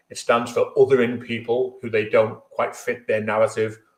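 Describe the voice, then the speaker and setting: In a Merseyside accent, a man speaks at a moderate pace. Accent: Merseyside (Scouse). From Merseyside, England. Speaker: trade union leader. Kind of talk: speech at online memorial event.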